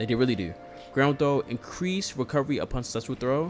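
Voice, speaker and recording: Over background music, a man at medium pitch speaks with lively intonation. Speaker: fighting game streamer. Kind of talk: live stream commentary on patch notes. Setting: live stream. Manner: casual, filler-heavy.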